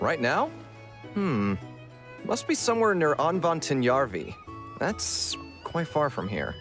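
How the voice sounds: A man speaks slowly in a put-on character voice with a fairly bright tone and fairly high pitch. His pitch swings widely, and faint music plays in the background.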